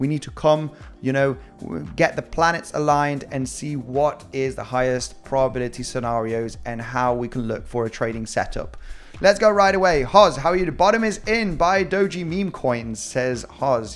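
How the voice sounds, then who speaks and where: Noticeable background noise sits under a voice with a slight British accent, lively intonation and a moderate pace. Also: man, medium pitch for a man. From Spain. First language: Spanish. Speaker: crypto trading analyst. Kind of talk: live-stream market analysis. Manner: animated.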